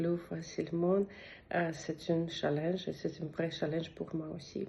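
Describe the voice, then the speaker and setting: A woman with a non-native accent and a fairly low pitch. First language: not French (speaking French). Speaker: language learner. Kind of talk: testimonial. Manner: halting, many hesitations.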